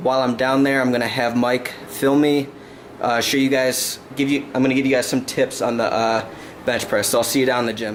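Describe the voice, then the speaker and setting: Audible room echo is present. Noticeable background noise runs underneath. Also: man. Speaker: fitness vlogger. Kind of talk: casual vlog talk. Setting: kitchen, then gym.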